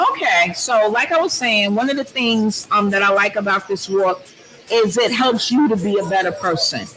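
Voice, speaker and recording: At a moderate pace, the talking continues with music in the background. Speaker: talk show guest. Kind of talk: casual chat. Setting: large loud room with audience. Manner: loud.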